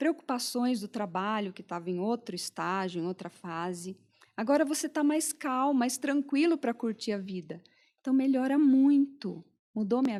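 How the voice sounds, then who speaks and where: Speaking at a moderate pace with lively intonation, a woman with a high pitch comes through on a very clean recording with a silent background. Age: 60s. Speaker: pharmacist and podcast host. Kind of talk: interview conversation.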